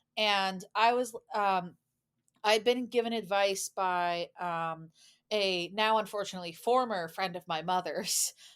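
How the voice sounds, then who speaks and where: A woman with an American accent talks at a fairly slow pace in a medium pitch with fairly even intonation, on a very clean recording with a silent background. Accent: American, described as NPR voice. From US, Boston suburb, Massachusetts. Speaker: podcast guest, former study-abroad student, YouTuber. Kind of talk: casual interview chat.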